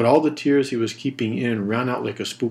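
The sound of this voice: What we hear is an unforced reading voice.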